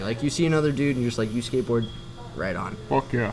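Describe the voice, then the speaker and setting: With music playing behind him, a man speaks at a very fast pace. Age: 20s. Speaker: skateboarder. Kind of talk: casual chat. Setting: in a bar.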